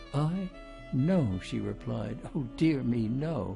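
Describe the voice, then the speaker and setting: There is music in the background as a man speaks. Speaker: audiobook narrator. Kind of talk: audiobook reading of a mystery novel. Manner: well-paced, good emphasis.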